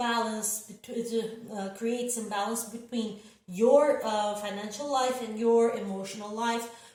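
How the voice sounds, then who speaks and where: Through audible room echo, a woman with a fairly high pitch and ordinary pitch variation speaks at a moderate pace. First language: not English. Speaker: tarot reader. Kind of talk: tarot reading forecast. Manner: hesitant, many fillers.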